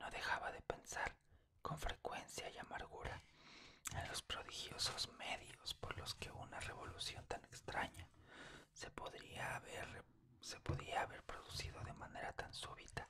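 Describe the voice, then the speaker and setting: Whispering, a man talks at a fairly slow pace. His tone is calm. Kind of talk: whispered literary reading of a horror short story. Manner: whispered, calm, relaxing.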